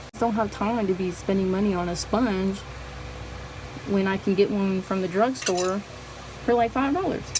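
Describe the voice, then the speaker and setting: A woman's medium-pitched, fairly quick speech with a slight Southern US accent, against noticeable background noise. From US South. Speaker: beauty vlogger. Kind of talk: makeup tutorial chat. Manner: casual, chatty.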